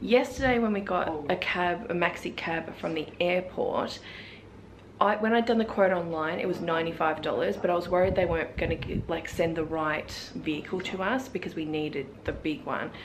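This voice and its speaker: Against noticeable background noise, a woman speaks at a moderate pace in a fairly low voice with ordinary pitch variation. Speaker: travel vlogger. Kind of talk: casual vlog chat. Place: home room. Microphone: phone near.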